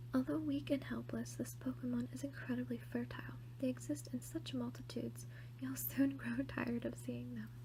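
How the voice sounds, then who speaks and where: This soft-spoken woman has a very deep, low pitch. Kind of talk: ASMR shopping haul and card opening.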